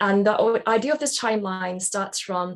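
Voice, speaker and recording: Speaking at a moderate pace, a woman with a British accent uses a medium pitch and fairly even intonation. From Britain. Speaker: jobs-to-be-done practitioner. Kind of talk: webinar Q&A. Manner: hesitant, many fillers.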